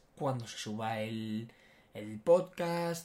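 A man talks in a somewhat breathy voice. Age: 20s. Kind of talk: casual chat. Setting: studio, sitting side by side.

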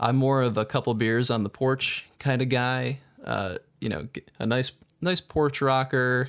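The speech comes at a fairly slow pace with ordinary pitch variation. The recording is very clean, with a silent background. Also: man, medium pitch for a man. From upstate New York, Syracuse. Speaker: podcast co-host, architect. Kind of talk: casual chat.

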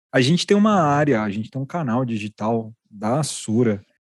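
A man speaks in an ordinary speaking voice at medium pitch with lively intonation. The sound is dry and close with no echo, over a quiet background. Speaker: podcast host. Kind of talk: interview podcast, casual but professional.

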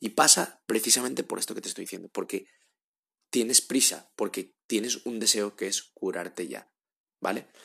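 The man's voice has a bright, sharp tone at a medium pitch. He moves along at a fairly quick pace. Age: 30s. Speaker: podcast host. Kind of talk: advice monologue. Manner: halting, with frequent repetitions.

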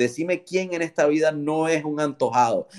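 The man here speaks at a fairly slow pace. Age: 30s. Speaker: entrepreneur. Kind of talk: interview. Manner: halting, frequent repetitions.

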